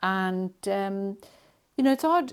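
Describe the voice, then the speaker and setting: In a very clean recording with a silent background, a woman with a Welsh accent speaks at a very slow pace with lively intonation. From Wales. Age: 60s. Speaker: poet. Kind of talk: interview. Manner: hesitant, many fillers.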